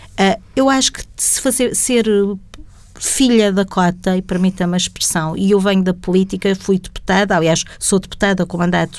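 A woman's unremarkable speaking voice, medium in pitch, with lively intonation and a moderate pace. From Portugal, Setúbal district. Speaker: government secretary of state. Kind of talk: interview.

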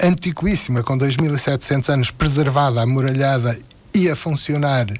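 A man speaks in a somewhat breathy voice. His pace is fairly slow. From Portugal. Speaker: retired philosophy teacher. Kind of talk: radio interview. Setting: studio.

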